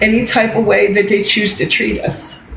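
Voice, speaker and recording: A woman speaks fairly slowly at a fairly high pitch in monotone, flat intonation, with audible room echo and noticeable background noise. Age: 60s. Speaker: livestreamer. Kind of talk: livestream rant. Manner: emphatic, repetitive.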